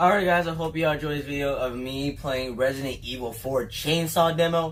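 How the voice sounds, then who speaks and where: A man talks in an animated tone. Audible room echo is present. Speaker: gaming YouTuber. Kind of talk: gameplay commentary. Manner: loud yelling.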